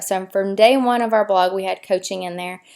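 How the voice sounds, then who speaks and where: The speaker has a Tennessee accent. The pace is fairly quick. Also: woman, very clean recording, silent background. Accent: Southern US (Tennessee). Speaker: fitness blogger and coach. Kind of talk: casual tutorial to camera.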